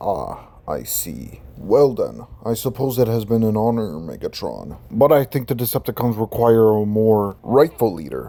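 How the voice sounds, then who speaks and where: In a put-on character voice, a man at medium pitch talks at a moderate pace with hardly any pauses. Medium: read story. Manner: cold, measured.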